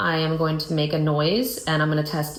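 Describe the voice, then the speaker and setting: A woman speaks at a moderate pace with a very deep, low pitch. Audible room echo and noticeable background noise fill the recording. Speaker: clinician demonstrating a physical exam. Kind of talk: clinical exam demonstration. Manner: explanatory, step by step.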